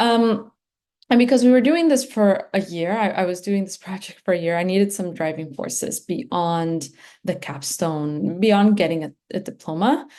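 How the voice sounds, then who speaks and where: With lively intonation and a dark, mellow tone, a woman talks at medium pitch and a moderate pace against a quiet background. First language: Spanish. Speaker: graduate student. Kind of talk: presentation. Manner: halting, many fillers.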